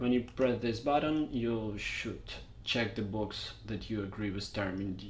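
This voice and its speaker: A man with a Russian accent speaks at a fairly slow pace in a somewhat breathy voice with ordinary pitch variation, amid audible room echo. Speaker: software tutorial maker. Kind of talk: tutorial. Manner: casual, unscripted.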